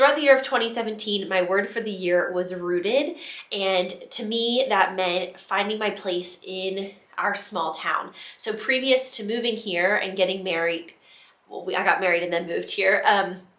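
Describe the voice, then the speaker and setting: There is audible room echo as a woman talks in a medium pitch. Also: ordinary pitch variation, moderate pace. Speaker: vlogger. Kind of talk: casual vlog talk. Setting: office.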